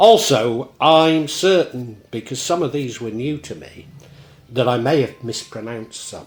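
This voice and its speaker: Here a man with a medium pitch speaks at a fairly slow pace, his intonation lively. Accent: Shropshire. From Shropshire, England (Shrewsbury area). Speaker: local history presenter. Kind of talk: casual monologue; reading aloud.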